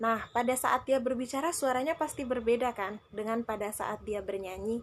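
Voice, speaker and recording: A woman talks at a moderate pace and fairly high pitch with ordinary pitch variation, on a very clean recording with a silent background. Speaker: Quran recitation teacher. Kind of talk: live stream Q&A tips talk. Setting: Instagram live. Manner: casual, chatty.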